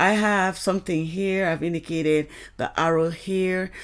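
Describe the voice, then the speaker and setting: The recording is very clean, with a silent background. A woman talks at a fairly slow pace in a flat monotone. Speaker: complainant in a legal dispute. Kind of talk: personal account. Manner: halting.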